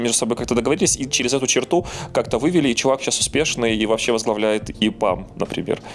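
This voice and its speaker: Very fast speech from a man, with ordinary pitch variation, comes through noticeable background noise. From Belarus. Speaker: podcast co-host. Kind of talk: casual podcast chat.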